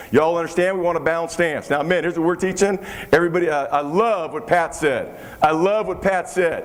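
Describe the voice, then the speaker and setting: Amid noticeable background noise and audible room echo, a man speaks very fast at a high pitch with fairly even intonation. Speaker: football line coach. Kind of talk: coaching clinic lecture. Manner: repetitive, emphatic.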